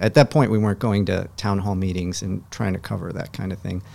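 This man speaks at a fairly quick pace with an Upper Midwest accent. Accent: Upper Midwest American. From Wisconsin (Appleton area). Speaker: magazine co-founder. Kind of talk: interview conversation. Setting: studio.

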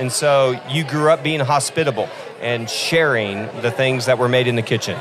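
A man speaks with an American accent at a moderate pace. His pitch is medium, and background noise is noticeable. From Oklahoma (Hooker, panhandle). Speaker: coffee shop founder, nonprofit entrepreneur. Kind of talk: podcast interview. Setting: live event at coffee festival. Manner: animated.

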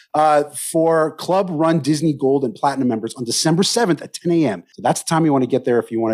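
A normal speaking voice at a fairly quick pace, with lively intonation and a very clean recording over a silent background. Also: man. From Canada. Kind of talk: casual chat.

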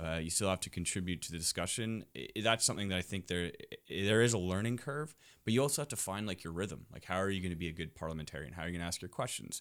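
A man with a very deep, low voice and a Canadian accent, talking very fast with lively intonation, on a very clean recording with a silent background. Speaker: politician. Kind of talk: casual interview conversation.

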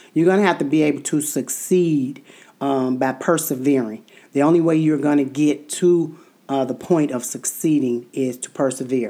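A woman talks at a moderate pace with a very deep, low pitch. Her tone is dark and mellow, with ordinary pitch variation. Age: 50s. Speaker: podcast co-host. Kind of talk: casual chat. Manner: halting, with many fillers.

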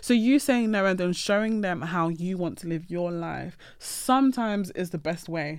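A woman at medium pitch, a normal speaking voice, with lively intonation, a moderate pace and hardly any pauses, on a very clean recording with a silent background. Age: 20s. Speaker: podcast guest. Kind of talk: casual chat.

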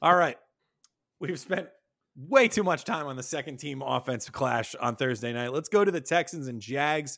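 A man's normal speaking voice, fairly high in pitch, with lively intonation at a moderate pace, on a very clean recording with a silent background. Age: 30s. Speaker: fantasy football podcast host. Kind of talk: casual chat.

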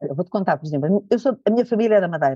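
Her voice comes out somewhat breathy. This woman's intonation is lively. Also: dry, close sound with no echo. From Portugal, Lisbon area. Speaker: image and attitude trainer, former model. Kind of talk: interview.

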